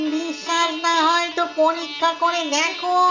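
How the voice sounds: An extremely high-pitched, cartoonish character voice cuts through loud background noise. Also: moderate pace.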